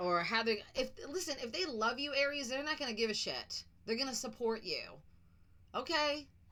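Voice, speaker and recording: A woman with an American accent speaks in a raised, projected voice, high in pitch and bright and sharp in tone. Her pace is moderate and her pitch varies in an ordinary way. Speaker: tarot reader. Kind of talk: psychic reading video. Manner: casual, chatty.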